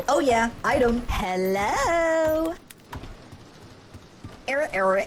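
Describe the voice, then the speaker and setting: Someone uses a put-on character voice at a very slow pace and fairly high pitch, with clear background noise. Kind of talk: game character voice-over. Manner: upbeat, excited.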